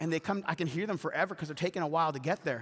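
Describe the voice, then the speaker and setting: Speaking very fast in a Canadian accent, a man with a high pitch sounds animated, his tone bright and sharp. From Atlantic Canada and Winnipeg. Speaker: pastor. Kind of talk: sermon.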